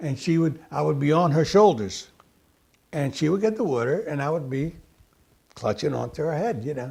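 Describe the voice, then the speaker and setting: This man, with an American accent, has a fairly high pitch and a dark, mellow, somewhat breathy tone. His intonation is lively, broken by long, frequent pauses. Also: moderate pace. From US, emigrated from Sicily at six. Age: 70s. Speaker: immigrant sharing family memories. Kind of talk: casual interview reminiscing. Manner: halting with fillers.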